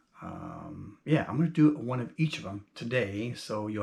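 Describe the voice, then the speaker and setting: A man with a normal speaking voice, fairly low in pitch. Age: 50s. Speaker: YouTuber and self-published author. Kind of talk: casual monologue vlog. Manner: conversational with many fillers.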